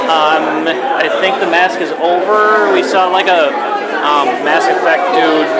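Crowd noise fills the background. A man is speaking. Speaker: convention vlogger. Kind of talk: casual vlog chat. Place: hall. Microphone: phone near.

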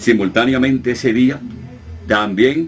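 Music plays in the background as a man speaks. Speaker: radio announcer. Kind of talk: interview answer, casual talk about his career.

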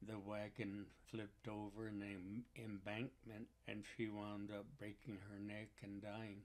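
Fairly low in pitch, a man speaks at a very slow pace in a monotone, flat manner. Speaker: Native elder and teacher. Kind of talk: elder life story, reflective storytelling. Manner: unhurried, reflective.

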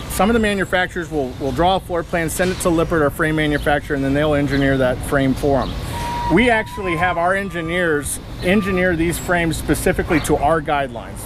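Over noticeable background noise, a man rattles along at a very fast pace with ordinary pitch variation. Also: dry sound with no echo. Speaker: factory guide. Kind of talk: tour explanation. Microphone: lapel.

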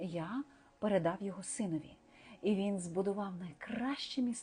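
Ordinary pitch variation in a plain reading-aloud delivery

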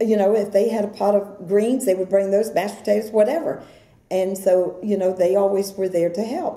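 Audible room echo surrounds speech delivered fairly quickly. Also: woman. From Brooksville, Florida, USA. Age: 70s. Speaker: oral history interviewee. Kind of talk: oral history interview answer. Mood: warm, nostalgic.

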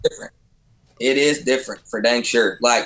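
Against a quiet background, a man talks with a Texan accent. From Texas, Fort Worth area; Texas. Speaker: professional bull rider; podcast guest. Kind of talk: casual chat. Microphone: video call.

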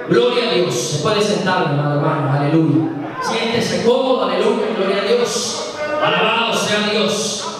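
Speech at a fairly slow pace carries strong room echo along with noticeable background noise. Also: man. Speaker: preacher. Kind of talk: sermon. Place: church.

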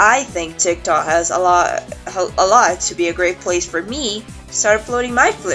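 A woman talks at a moderate pace. Behind her, music can be heard. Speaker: hobby animator. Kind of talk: casual talk to camera.

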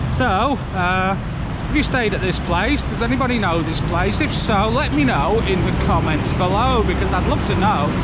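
A moderate pace with hardly any pauses, dry sound with no echo, and loud background noise. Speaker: walking tour vlogger. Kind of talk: casual vlog chat. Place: street. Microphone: phone near.

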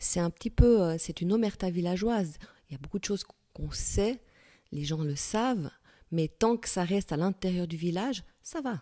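With a dark, mellow tone and lively intonation, a woman speaks at a medium pitch and moderate pace on a very clean recording with a silent background. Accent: slight Fribourg. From Switzerland, canton of Fribourg (Gruyère). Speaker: novelist. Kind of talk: interview. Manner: hesitant, many repetitions.

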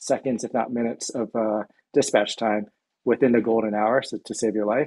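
A man talks at a moderate pace, his intonation monotone and flat. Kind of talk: interview answer. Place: home room. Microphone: video call.

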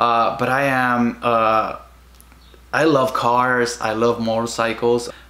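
In a Spanish accent, a man talks with fairly even intonation. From Guatemala. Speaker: vlogger. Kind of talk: casual personal vlog monologue. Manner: halting, many fillers. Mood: emotional, reflective. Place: home room. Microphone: camera far.

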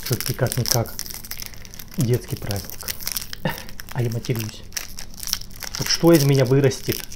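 A man speaks fairly slowly, with noticeable background noise around him. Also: ordinary pitch variation. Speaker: food vlogger. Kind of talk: casual vlog chat. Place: kitchen. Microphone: phone near.

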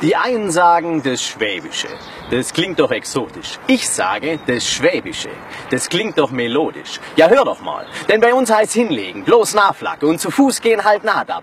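Over noticeable background noise, a man speaks in a playful tone at a moderate pace. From Swabia, southern Germany. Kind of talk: rhyming spoken-word dialect poem. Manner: rhythmic, playful.

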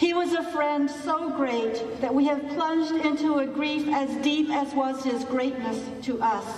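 Fairly slow and high-pitched, a woman speaks with fairly even intonation. Light background noise and audible room echo surround her voice. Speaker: minister. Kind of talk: funeral service. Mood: solemn, grieving. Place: hall.

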